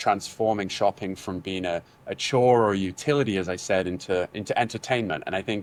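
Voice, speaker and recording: Speaking at a fairly quick pace, a man uses a fairly low voice with ordinary pitch variation. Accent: British. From England. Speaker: business executive. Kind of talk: interview. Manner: hesitant, repeats words.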